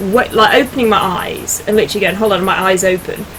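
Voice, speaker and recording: A woman with a British accent speaks at a very fast pace in a fairly high pitch. Noticeable background noise runs underneath. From British Isles. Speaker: yoga and reiki teacher. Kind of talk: casual interview chat. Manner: animated.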